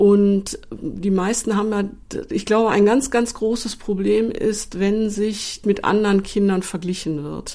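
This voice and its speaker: Her voice has a dark, mellow tone at medium pitch, as the woman speaks fairly slowly with fairly even intonation. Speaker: paediatrician. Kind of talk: interview.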